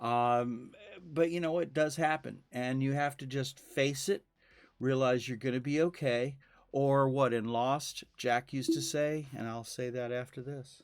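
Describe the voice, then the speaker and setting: The recording is very clean, with a silent background. A man with a medium-pitched voice talks at a fairly slow pace and a fairly even intonation. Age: 60s. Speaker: podcast host and camera operator. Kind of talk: casual chat. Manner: halting, with many fillers.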